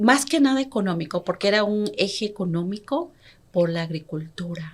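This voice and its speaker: Somewhat breathy, a woman speaks at a medium pitch. Her pace is moderate and her intonation lively. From Peru, Andes (Huancayo, Junín). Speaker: entrepreneur and consumer rights activist. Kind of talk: interview.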